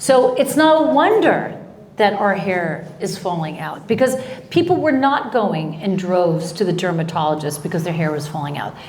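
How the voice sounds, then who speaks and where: A woman at medium pitch speaks at a moderate pace with very wide pitch swings, amid audible room echo and noticeable background noise. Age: 60s. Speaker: talk show host. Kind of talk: casual interview chat. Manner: animated, repetitive.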